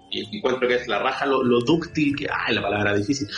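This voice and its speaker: A man with a Chilean accent talks at a very fast pace, with ordinary pitch variation. Music plays in the background. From Chile, Santiago (San Miguel). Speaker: journalist and radio host. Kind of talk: casual chat. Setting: remote call.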